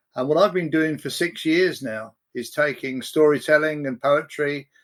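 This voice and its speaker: With an English accent, the speaker goes at a fairly slow pace on a very clean recording with a silent background. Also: man. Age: 70s. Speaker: prison poetry and storytelling facilitator. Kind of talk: podcast interview.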